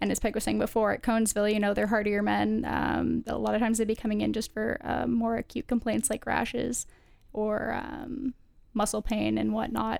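A woman's voice at a fairly quick pace, with very even loudness. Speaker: medical student. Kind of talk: casual panel discussion.

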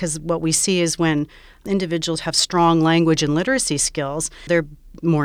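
A normal speaking voice with a Canadian accent at a fairly quick pace, on a very clean recording with a silent background. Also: woman. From Saskatchewan, Canada. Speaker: professor and speech language pathologist. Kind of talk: interview.

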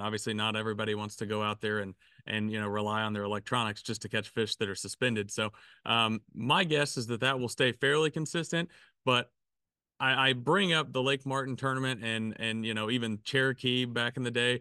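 With a Southern US accent, the voice has a bright, sharp tone and ordinary pitch variation. It moves at a fairly quick pace over a quiet background. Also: man, dry, close sound with no echo. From Arkansas. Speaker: fishing podcast co-host. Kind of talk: casual chat.

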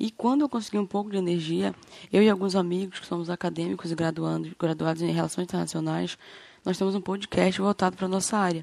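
The recording is very clean, with a silent background. Speech moves at a fairly quick pace. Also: woman. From Brazil, Amapá (Macapá). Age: 20s. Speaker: podcast host giving local testimony. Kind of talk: testimony. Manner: halting.

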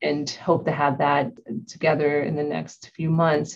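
A woman with an American accent, a very deep, low pitch, vocal fry and monotone, flat intonation, at a moderate pace. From Ohio, US. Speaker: healthcare IT executive. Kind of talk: interview.

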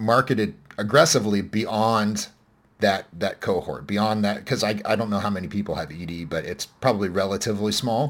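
This man has an unremarkable speaking voice, fairly low in pitch, with ordinary pitch variation and a fairly quick pace. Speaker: podcast host. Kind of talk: casual conversational podcast discussion of science news. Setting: remote recording.

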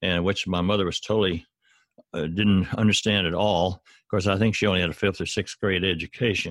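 This man talks at a moderate pace with a Southern US accent, his fairly low voice showing ordinary pitch variation. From US South, Arkansas. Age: 70s. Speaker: author and former professor. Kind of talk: interview. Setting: remote call.

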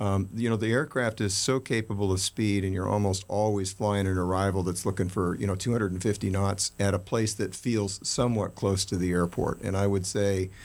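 At a fairly quick pace, a man speaks with fairly low pitch and fairly even intonation. It is a normal speaking voice. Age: 60s. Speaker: private jet owner-pilot. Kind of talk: casual interview chat. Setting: studio.

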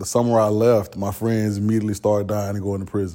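Talking at a very fast pace with an American accent, a man has a dark, mellow tone, a fairly low pitch and fairly even intonation. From Orlando, Florida (Pine Hills). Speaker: school board member and local political activist. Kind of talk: interview. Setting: in person, same room as host. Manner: halting, many fillers.

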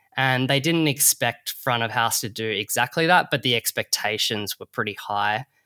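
Speaking with an Australian accent and hardly any pauses, a man's medium-pitched voice sounds bright and sharp, with ordinary pitch variation and a dry, close sound free of echo. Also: moderate pace. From Perth, Western Australia. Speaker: bartender and distillery owner. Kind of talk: casual interview.

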